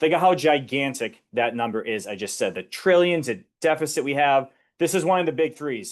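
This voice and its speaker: Speaking at a fairly quick pace with a Boston accent, a man is heard over a quiet background. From US Northeast, Boston area. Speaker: financial educator presenter. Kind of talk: webinar presentation. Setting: online webinar. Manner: conversational.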